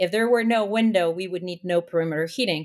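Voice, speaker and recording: A woman talks very fast, her medium pitch showing ordinary pitch variation. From Mexico City. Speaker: building design consultant. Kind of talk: interview.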